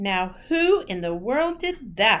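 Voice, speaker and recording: A woman puts on a character voice with a fairly high pitch. Her pitch swings very widely. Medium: read story.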